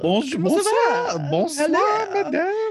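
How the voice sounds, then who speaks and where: A put-on character voice speaks at a very slow pace and a high pitch. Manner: exaggerated, theatrical.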